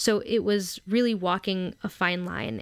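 On a very clean recording with a silent background, a woman with a normal speaking voice and an American accent talks at medium pitch with fairly even intonation, the sound dry and close with no echo. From US South, Memphis, Tennessee. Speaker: blogger, medical student. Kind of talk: interview.

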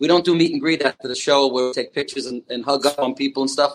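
A man is speaking. He has a New York accent. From Long Island, New York. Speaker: comedian and impressionist. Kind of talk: casual chat. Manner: animated, energetic.

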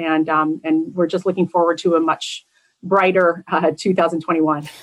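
A woman speaks in an unremarkable speaking voice. Her pitch is fairly low and her intonation fairly even. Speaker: salon owner. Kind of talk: interview.

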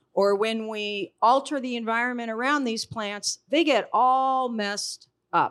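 A woman speaks at a very slow pace, her pitch fairly high with ordinary variation. The recording is very clean, with a silent background. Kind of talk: panel discussion. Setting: stage with audience.

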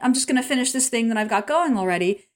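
Animated tone at a very fast pace. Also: woman. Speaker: podcast co-host and business leader. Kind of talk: casual chat.

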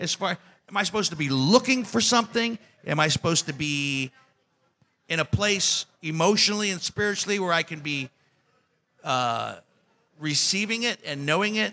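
The speaker is a man with a fairly high pitch. His tone is bright and sharp. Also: lively intonation, moderate pace.

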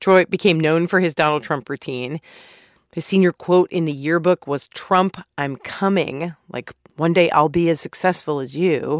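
In a very clean recording with a silent background and a dry, close sound with no echo, a woman talks at a moderate pace with fairly low pitch, a plain, everyday voice, and fairly even intonation. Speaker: podcast host. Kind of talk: scripted narration with interview clips.

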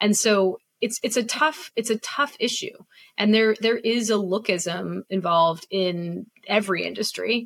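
A woman speaks at a fairly high pitch and fairly slow pace, with ordinary pitch variation, very even loudness and an unremarkable speaking voice. The sound is dry and close with no echo. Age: 40s. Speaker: podcast host. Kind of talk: interview.

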